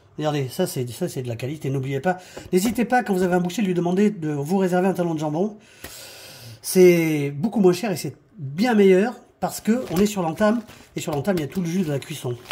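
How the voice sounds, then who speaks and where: A man with a high pitch and a dark, mellow tone talks at a fairly quick pace with lively intonation, broken by long, frequent pauses. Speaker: cooking show host. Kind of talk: cooking tutorial. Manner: fast.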